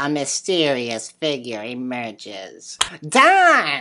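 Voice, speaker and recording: A female-sounding, cartoonish character voice sits at a very deep, low pitch. It moves at a very slow pace. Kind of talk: puppet show hosting. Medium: puppet. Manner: upbeat, excited.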